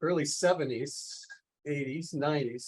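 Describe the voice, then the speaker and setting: A man speaks in a normal speaking voice at a fairly high pitch. His pace is moderate and his pitch varies in an ordinary way. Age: 60s. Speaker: polymath, environmental scientist. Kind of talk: podcast interview.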